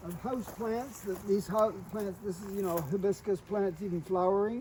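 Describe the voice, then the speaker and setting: A man talks at a moderate pace in a high voice with fairly even intonation. Noticeable background noise runs behind him. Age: 80s+. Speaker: home gardener. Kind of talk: casual garden tour. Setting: outdoors. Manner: halting.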